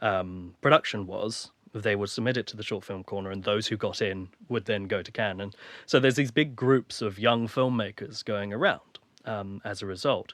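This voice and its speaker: He speaks with an English accent at a moderate pace. His voice is fairly low for a man, with ordinary pitch variation. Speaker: filmmaker. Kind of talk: casual chat.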